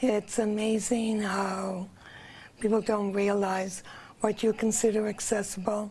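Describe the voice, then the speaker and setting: Keeping her loudness very even, a woman speaks at medium pitch and a fairly slow pace in a monotone, flat intonation. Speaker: accessibility committee member. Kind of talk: TV interview.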